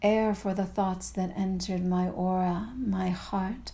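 The voice is somewhat breathy and dark, mellow in tone, with monotone, flat intonation. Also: woman. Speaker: poet and podcast host. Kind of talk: spoken-word poetry, sensual incantation. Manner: slow, hushed, intimate, rhythmic and incantatory.

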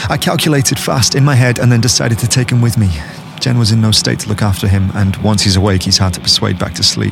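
A man's fairly low voice in a dramatic tone, ordinary in pitch variation, at a very fast pace over noticeable background noise. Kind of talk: dramatic first-person horror narration. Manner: tense, hushed, halting, urgent; dramatic, suspenseful.

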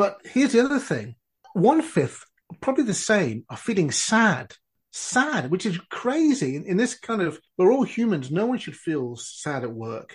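The voice moves at a fairly slow pace while swinging very widely in pitch. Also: man, high pitch for a man. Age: 50s. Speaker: keynote speaker and coach. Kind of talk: podcast interview. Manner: animated.

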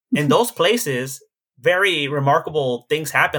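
A man's fairly high, bright and sharp voice with lively intonation. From Los Angeles (Koreatown), Mexican-American. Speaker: Buddhist monk. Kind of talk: casual interview.

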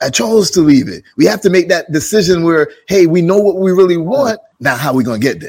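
With a New York accent, a high-pitched man talks at a fairly quick pace with lively intonation and hardly any pauses. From Jamaica, then Brooklyn, New York. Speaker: podcast host. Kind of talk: casual interview chat. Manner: energetic.

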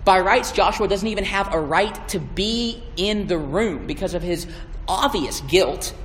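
Noticeable background noise and audible room echo surround a man speaking at a moderate pace with ordinary pitch variation. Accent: Southern US. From US South (Georgia and Alabama). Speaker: campus ministry intern. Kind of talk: sermon. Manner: halting.

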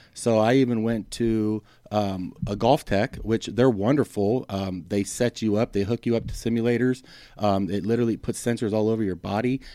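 Using an ordinary speaking voice, a man talks with a medium pitch at a moderate speed. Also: fairly even intonation. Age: 40s. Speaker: golf training aid inventor. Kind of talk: interview.

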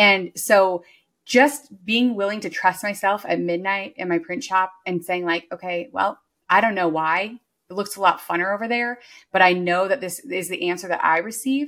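Here a woman has an unremarkable speaking voice at a medium pitch. She talks at a moderate pace with ordinary pitch variation. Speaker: business coach and entrepreneur. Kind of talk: casual interview chat.

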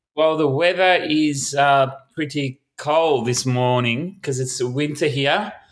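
A man with an Australian accent and a fairly high pitch speaks at a very slow pace with fairly even intonation and hardly any pauses. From Melbourne, Australia. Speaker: street musician. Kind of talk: casual interview. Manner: halting.

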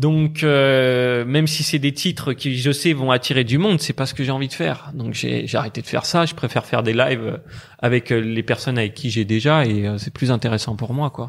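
This man has a normal speaking voice at a medium pitch, with ordinary pitch variation. He keeps a moderate pace with hardly any pauses. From France, Brittany. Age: 20s. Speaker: online entrepreneur and investor. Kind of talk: casual interview.

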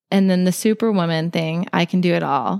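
A woman with an unremarkable speaking voice, pitched fairly low and with fairly even intonation, is heard in a very clean recording with a silent background. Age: 30s. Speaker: homemaker and freelance artist. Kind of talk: casual chat.

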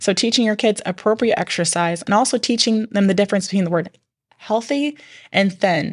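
A woman's unremarkable speaking voice at medium pitch, with ordinary pitch variation, very even loudness, a fairly quick pace and a quiet background. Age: 40s. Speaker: podcast host, mom. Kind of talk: casual chat.

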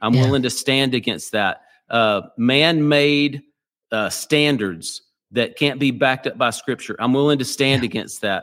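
A man with an American accent talks in a normal speaking voice at medium pitch, with ordinary pitch variation and a moderate pace. The recording is very clean, with a silent background. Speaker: pastor. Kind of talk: interview.

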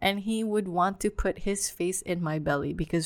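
A woman with an unremarkable speaking voice, fairly low pitch, ordinary pitch variation, and a fairly slow pace. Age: 30s. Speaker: podcast host. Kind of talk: casual monologue. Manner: casual, many fillers and repetitions.

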